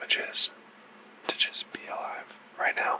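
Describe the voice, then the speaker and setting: With noticeable background noise behind it, the whispering moves at a very slow pace. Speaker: vlogger. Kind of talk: asmr book talk. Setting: at home, filming self on camera. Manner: quiet, soft-spoken.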